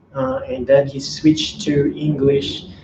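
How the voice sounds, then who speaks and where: Over noticeable background noise, a man with a fairly high pitch speaks in a monotone, flat intonation. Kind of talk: casual talk to camera, video commentary. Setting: home recording with some background noise.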